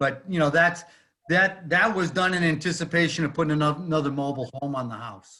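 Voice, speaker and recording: A man's plain, everyday voice, fairly high in pitch, at a fairly quick pace with ordinary pitch variation. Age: 60s. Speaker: property owner applicant. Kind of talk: public hearing testimony.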